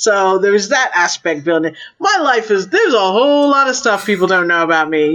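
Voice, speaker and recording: A woman's plain, everyday voice with an American accent, medium pitch, moderate pace and lively intonation. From born in London, raised largely in US. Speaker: strategic intelligence advisor. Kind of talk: interview conversation.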